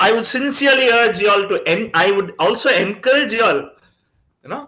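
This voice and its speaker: A man with a Tamil accent speaks in a raised, projected voice with a bright, sharp tone. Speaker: chief guest speaker. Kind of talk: talk to a student reading group. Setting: video call.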